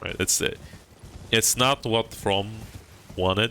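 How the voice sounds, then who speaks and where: A man mumbling at a fairly slow pace. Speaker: gaming streamer. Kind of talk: live stream commentary. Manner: halting.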